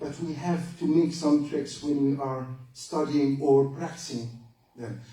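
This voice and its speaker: Audible room echo surrounds a man whose fairly high pitch comes at a fairly slow pace. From Egypt. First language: Arabic. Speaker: lecturer, retired general. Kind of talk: lecture.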